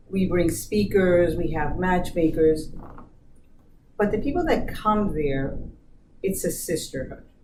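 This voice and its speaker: A woman's fairly low, fairly slow voice with ordinary pitch variation and long, frequent pauses, amid noticeable background noise and audible room echo. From born in US, Colombian family. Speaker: business diversity manager. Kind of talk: interview.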